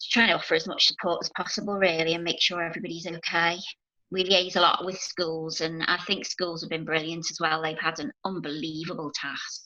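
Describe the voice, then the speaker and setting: Speaking fairly quickly in a Liverpool accent, a woman keeps her fairly low voice in a monotone, flat intonation. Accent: Scouse (Liverpool). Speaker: NHS nurse working with children. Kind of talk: casual interview chat. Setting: video call.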